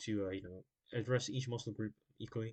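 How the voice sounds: A man's fairly low voice, slightly mellow in tone, with ordinary pitch variation and a fairly slow pace.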